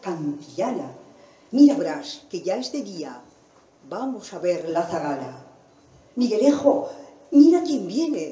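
Very slow speech with long, frequent pauses, very wide pitch swings, big swings in loudness, and audible room echo. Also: woman. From Argentina. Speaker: reciter and presenter. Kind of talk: public reading of texts and poems. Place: hall.

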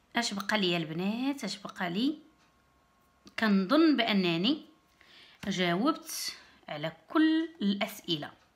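A woman speaks at a very slow pace with long, frequent pauses. Her somewhat breathy voice swings very widely in pitch. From Morocco, Berrechid; Morocco. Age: 30s. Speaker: YouTuber; vlogger. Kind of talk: casual vlog talk to camera. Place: home room. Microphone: phone near.

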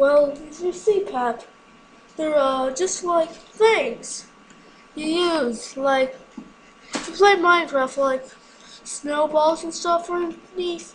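A put-on character voice at a high pitch, at a very slow pace with long, frequent pauses. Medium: game stream.

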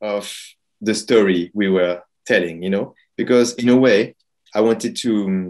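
Male speech, moderately paced, set against a quiet background. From France. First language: French. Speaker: film director and playwright. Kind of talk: interview; interview answer. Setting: video call. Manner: hesitant, repeats words. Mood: calm, reflective. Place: home room. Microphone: video call.

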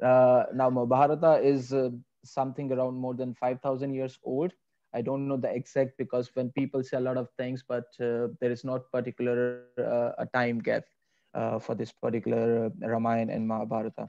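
The voice has a dark, mellow tone and monotone, flat intonation at a fairly quick pace. Background noise is noticeable. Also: man. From India. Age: 20s. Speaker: yoga teacher and philosophy student; yoga teacher. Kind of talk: interview. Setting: video call. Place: home room.

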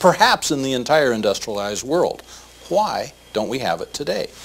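The pace is fairly quick. The speaker is a man. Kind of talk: interview answer. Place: office.

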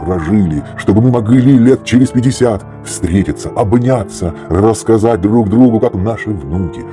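Over music in the background, a man speaks at a fairly slow pace. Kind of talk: narration over slideshow.

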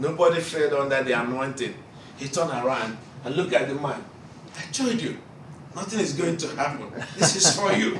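With a Nigerian accent, a man speaks at a moderate pace and a fairly high pitch, using lively intonation and long, frequent pauses amid light background noise and audible room echo. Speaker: preacher. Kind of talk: sermon. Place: classroom. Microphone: camera far.

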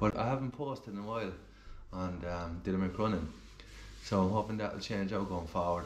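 Delivered at a moderate pace, the speech shows ordinary pitch variation and audible room echo. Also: man. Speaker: amateur runner vlogger. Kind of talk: casual vlog chat. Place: kitchen. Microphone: phone near.

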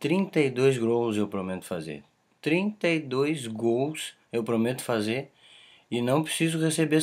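The man's pitch swings very widely as he talks. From southern Brazil, Caxias do Sul (Rio Grande do Sul); Rio Grande do Sul, Brazil. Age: 20s. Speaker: aspiring footballer. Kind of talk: self-promotional video pitch. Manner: emphatic, confident. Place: home room. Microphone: webcam.

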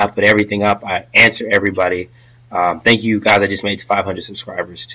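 A man speaks at a very fast pace with a fairly low pitch and monotone, flat intonation, against a quiet background. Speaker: vlogger, army officer candidate; vlogger, candidate. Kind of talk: casual vlog talk to camera. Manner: halting, filler-heavy. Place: home room. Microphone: webcam.

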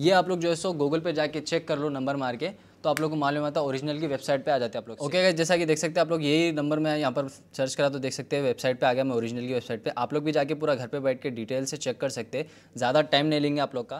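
A man talks at a very fast pace with hardly any pauses. His pitch is fairly high and his intonation fairly even. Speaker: vlogger reviewing gadgets. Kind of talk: product unboxing review. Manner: loud. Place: home room. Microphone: lapel.

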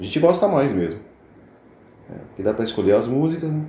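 A man speaks. There is audible echo from the room. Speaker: channel host. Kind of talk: casual vlog chat. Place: bar. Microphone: phone near.

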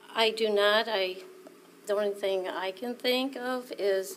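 Against light background noise, a woman with an American accent speaks with fairly even intonation. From Iowa (Earlville); Iowa. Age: 60s. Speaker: witness, hospital manager; witness. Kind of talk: witness testimony. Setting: courtroom. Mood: serious, emotional recollection. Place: hall. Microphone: podium.

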